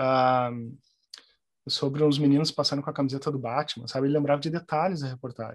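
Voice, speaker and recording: Long, frequent pauses mark this man's speech. His pitch is fairly high, and his intonation is fairly even. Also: fairly quick pace. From southern Brazil, Porto Alegre. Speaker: journalist and translator. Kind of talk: interview conversation. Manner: halting, many repetitions.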